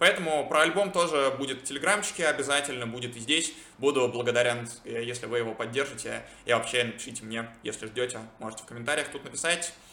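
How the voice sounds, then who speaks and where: A very fast pace, with audible room echo and noticeable background noise. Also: man. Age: 20s. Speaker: podcaster and product manager. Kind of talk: solo monologue vlog.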